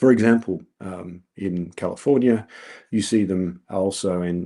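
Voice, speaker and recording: Against a quiet background, a man with a very deep, low voice talks in an Australian accent. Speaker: researcher presenting at a colloquium. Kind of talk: conference talk. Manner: many filler words (um, uh).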